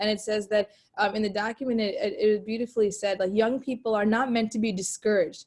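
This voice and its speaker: Flat, monotone intonation runs through this voice. It moves at a very fast pace with a somewhat breathy quality. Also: woman, fairly high pitch for a woman. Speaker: youth ministry facilitator. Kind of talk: webinar discussion.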